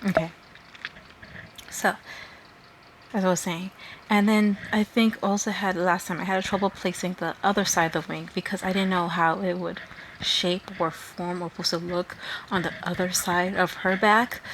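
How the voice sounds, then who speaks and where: With light background noise, a woman speaks in a flat monotone at a moderate pace, with long, frequent pauses. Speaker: artist. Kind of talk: art tutorial narration. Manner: halting. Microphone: phone near.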